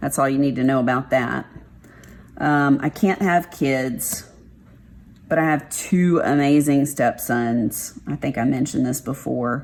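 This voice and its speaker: In a Texas accent, a woman with a very deep, low pitch talks at a fairly slow pace with ordinary pitch variation. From Texas, Dallas. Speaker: craft vlogger. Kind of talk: casual chat.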